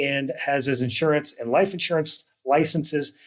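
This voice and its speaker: A man's fairly high voice at a moderate pace, a plain, everyday voice. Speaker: retirement counselor and podcast host. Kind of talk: interview.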